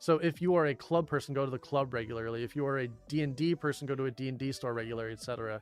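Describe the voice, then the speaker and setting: With music in the background, a man of medium pitch talks at a very fast pace with hardly any pauses and ordinary pitch variation. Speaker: streamer. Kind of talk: casual chat. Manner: casual, filler-heavy.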